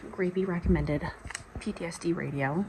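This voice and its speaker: Over noticeable background noise, a woman talks with lively intonation and a fairly low pitch. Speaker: book vlogger. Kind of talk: casual vlog talk.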